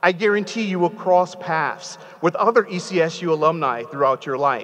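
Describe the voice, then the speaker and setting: Over light background noise, a man with an American accent talks at a moderate pace and a high pitch, with lively intonation. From New Haven, Connecticut; Connecticut. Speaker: commencement speaker; speaker. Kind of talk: commencement speech. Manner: animated, engaging, audience-interactive. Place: hall. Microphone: podium.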